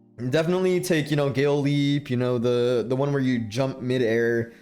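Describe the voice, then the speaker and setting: A man at medium pitch with ordinary pitch variation and very even loudness, at a moderate pace, with music in the background. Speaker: gamer, video uploader. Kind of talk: casual gaming commentary. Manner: stutters, halting.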